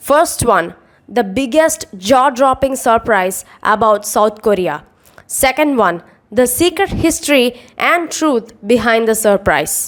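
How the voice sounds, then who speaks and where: Speaking very slowly at a very even loudness, a woman uses a high voice with lively intonation. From India, Chennai, Tamil Nadu. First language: Tamil. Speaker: calligraphy artist. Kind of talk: scripted narration.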